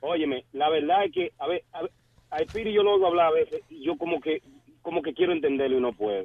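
The man speaks very quickly. His pitch variation is ordinary. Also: fairly high pitch for a man. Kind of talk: sports talk call-in. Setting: phone call.

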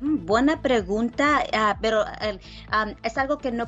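With music in the background, a woman speaks with lively intonation. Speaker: lawyer. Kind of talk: radio legal advice call-in segment.

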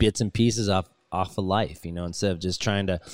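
Recorded dry and close with no echo, a man with an American accent speaks at a fairly low pitch. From US West Coast, Los Angeles. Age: 30s. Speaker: touring rock musician, band frontman. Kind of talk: casual chat. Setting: video call.

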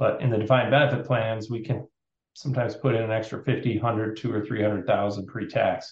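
A somewhat breathy man speaks at a moderate pace and medium pitch, his intonation fairly even. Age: 50s. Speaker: financial planner. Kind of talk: interview.

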